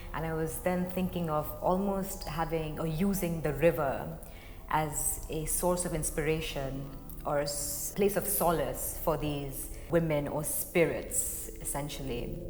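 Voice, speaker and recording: Music plays in the background as a woman with a Marathi accent talks fairly slowly at a fairly low pitch, with fairly even intonation and audible room echo. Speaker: contemporary dancer. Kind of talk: interview talk.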